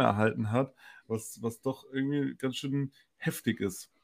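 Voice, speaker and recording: This is a man talking at a medium pitch. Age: 20s. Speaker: podcast co-host. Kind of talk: casual chat.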